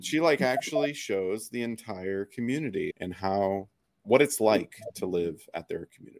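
With a plain, everyday voice, a man speaks with an American accent at a moderate pace and fairly low pitch, his intonation lively, his loudness swinging widely, the sound dry and close with no echo. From US Pacific Northwest. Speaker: podcast host, marketing director. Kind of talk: casual interview.

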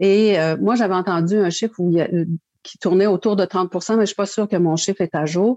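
Against a quiet background, with a dry, close sound and no echo, a woman of medium pitch speaks at a fairly quick pace in a dark, mellow tone with fairly even intonation. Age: 60s. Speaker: kidney foundation chair and living kidney donor. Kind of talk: testimony.

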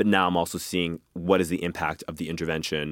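On a very clean recording with a silent background, a man speaks at a fairly quick pace. He has a very deep, low pitch and an American accent. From Boston, Massachusetts (Mattapan). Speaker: clinical psychology PhD student. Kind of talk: interview.

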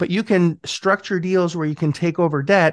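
Against a quiet background, a man speaks at a moderate pace with ordinary pitch variation, an ordinary speaking voice with a dry, close sound and no echo. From Montreal, Canada. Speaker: real estate investor and coach. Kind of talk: interview. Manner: casual, filler-heavy.

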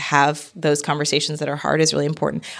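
With vocal fry, a woman talks at a very fast pace in a very deep, low voice. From Connecticut, US. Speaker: marketing strategist and women's leadership coach. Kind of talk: interview. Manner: loud.

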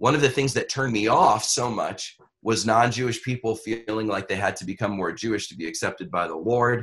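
A man talks at a fairly quick pace in a plain, everyday voice. His pitch sits in the middle range. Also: ordinary pitch variation, big swings in loudness. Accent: American. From Brooklyn, New York. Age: 50s. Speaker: pastor. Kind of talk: interview conversation.

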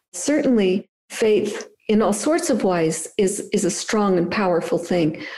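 An unremarkable speaking voice from a woman, medium in pitch, with lively intonation and a fairly slow pace. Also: very even loudness. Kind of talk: interview conversation.

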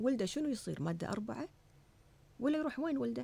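The voice has an animated tone, with very wide pitch swings. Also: woman. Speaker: former parliamentary candidate. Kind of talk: interview.

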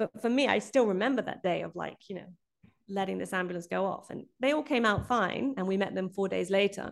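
This woman speaks at a medium pitch with ordinary pitch variation and a fairly quick pace. Vocal fry comes through in her voice. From Brazil. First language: Portuguese. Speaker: documentary director. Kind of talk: interview conversation. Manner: halting, with fillers.

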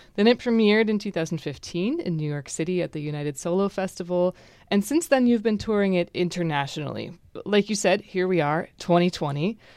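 At a fairly quick pace, a woman with a plain, everyday voice speaks at medium pitch with ordinary pitch variation over a quiet background. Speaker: radio host. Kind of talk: radio interview. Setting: studio.

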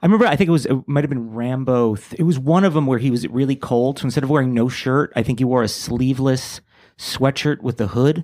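Speaking at a very fast pace with an American accent, a man uses a medium pitch with ordinary variation. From New York area (born New Jersey). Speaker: comedian. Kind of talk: casual chat.

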